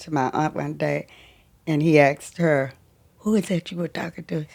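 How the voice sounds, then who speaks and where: A woman with a Southern US accent, fairly even intonation, and a fairly slow pace. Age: 80s+. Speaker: grandmother and cancer survivor. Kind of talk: casual interview. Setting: at her home.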